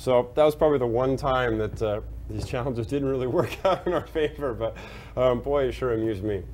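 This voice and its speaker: A man rattles along at a very fast pace as light noise sits in the background. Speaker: bartending instructor. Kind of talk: tutorial with anecdote. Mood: amused, storytelling. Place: bar.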